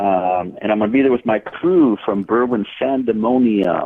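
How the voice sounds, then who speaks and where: A man speaking at a fairly slow pace, with an American accent. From Minnesota. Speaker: comic book writer. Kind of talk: casual podcast interview. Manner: halting, many fillers.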